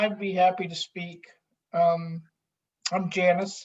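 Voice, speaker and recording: Speaking at a fairly slow pace, a woman uses a somewhat breathy, fairly low voice with monotone, flat intonation. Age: 60s. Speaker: psychiatric drug withdrawal survivor. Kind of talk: testimony.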